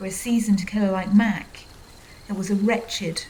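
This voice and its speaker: The speech moves at a fairly slow pace. Noticeable background noise is present. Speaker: author reading own fiction. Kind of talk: audiobook fiction reading.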